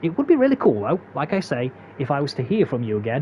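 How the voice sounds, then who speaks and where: With a Derbyshire accent, a man talks at a very fast pace. Noticeable background noise fills the clip. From England, Derbyshire. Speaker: gaming speedrun tutorial creator. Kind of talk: tutorial narration outro. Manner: halting, many fillers and repeats.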